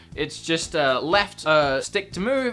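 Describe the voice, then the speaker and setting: Over music in the background, a woman talks at a very slow pace with a very deep, low pitch and very wide pitch swings. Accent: Australian. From Australia. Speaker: gaming youtuber. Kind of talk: video game review commentary. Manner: animated, casual with fillers.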